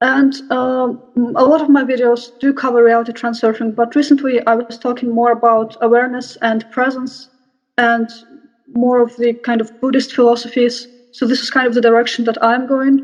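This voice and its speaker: A high female voice, flat and monotone, at a moderate pace. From Russia. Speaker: spiritual YouTuber. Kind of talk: interview.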